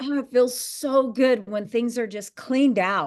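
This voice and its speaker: At a moderate pace, a woman speaks in a plain, everyday voice with fairly high pitch and ordinary pitch variation. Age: 60s. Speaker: fitness instructor. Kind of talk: casual interview chat.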